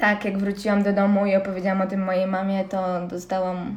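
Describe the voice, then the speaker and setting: Using a normal speaking voice, a woman speaks at a medium pitch. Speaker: CrossFit athlete and student. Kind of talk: casual interview chat.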